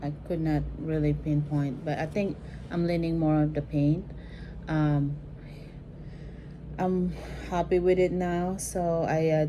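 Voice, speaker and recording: A woman's very deep, low, monotone, flat voice with a Filipino accent, at a fairly slow pace broken by long, frequent pauses. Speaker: vintage bag restorer. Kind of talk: casual talk to camera.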